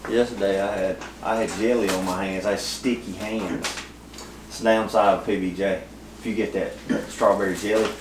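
A man's monotone, flat delivery at a moderate pace, fairly low in pitch, over noticeable background noise. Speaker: fishing vlogger. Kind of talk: casual vlog chat. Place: kitchen. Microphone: phone near.

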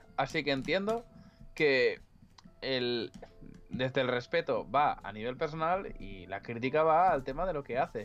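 Lively intonation at a fairly slow pace, broken by long, frequent pauses, with faint music in the background. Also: man, fairly high pitch for a man. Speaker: streamer and illustrator; streamer. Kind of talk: casual chat. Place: home room. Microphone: too quiet at first.

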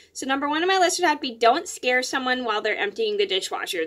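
A woman speaks with a bright, sharp tone and very wide pitch swings. The background is quiet. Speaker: vlogger. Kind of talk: casual vlog chat. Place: home room. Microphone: phone near.

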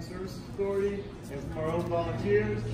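Through loud background noise and audible room echo, a man talks at a very fast pace. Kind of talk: briefing to volunteers. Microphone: phone near.

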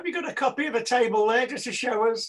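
With an extremely high pitch and a fairly bright tone, a man talks at a fast pace. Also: ordinary pitch variation.

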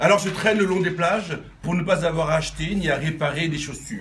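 Light background noise sits under the recording. A man with a high pitch speaks fairly quickly with fairly even intonation. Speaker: amateur poet. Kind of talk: reading aloud. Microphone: phone near.

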